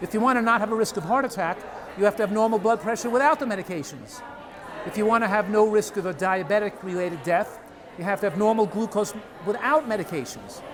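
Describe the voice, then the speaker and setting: Noticeable background noise accompanies a man with a high voice talking at a fairly quick pace. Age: 70s. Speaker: physician and nutrition author. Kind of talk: interview.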